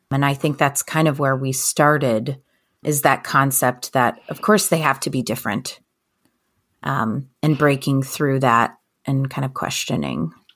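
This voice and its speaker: Music plays in the background as a woman with a very deep, low voice speaks at a fairly slow pace with ordinary pitch variation. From Persian family background. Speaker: tech leader turned entrepreneur. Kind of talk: casual chat. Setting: video call.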